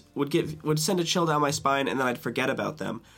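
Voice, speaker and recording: A man speaks in a fairly high pitch with vocal fry. He has an American accent. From US Northeast, upstate New York. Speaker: podcast host. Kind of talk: casual monologue.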